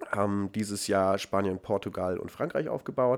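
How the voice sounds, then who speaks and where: A man with a plain, everyday voice, moderate pace and ordinary pitch variation, in a very clean recording with a silent background. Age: 20s. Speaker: startup founder and CEO. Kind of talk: interview conversation.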